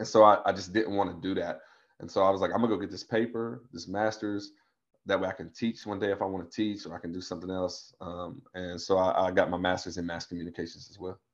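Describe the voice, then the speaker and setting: Over a quiet background, a man with an American accent talks very fast at a very deep, low pitch, his intonation fairly even and his loudness swinging widely. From US South, southwest Virginia Appalachia. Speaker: advertising creative director. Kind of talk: casual interview chat.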